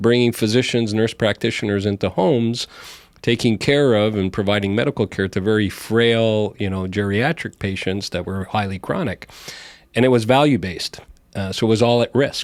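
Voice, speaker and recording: In a very clean recording with a silent background, a man with a slight Montreal accent talks at a fairly low pitch and a moderate pace, with ordinary pitch variation. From Montreal, Canada. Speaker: healthcare company CEO. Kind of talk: podcast interview. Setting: studio.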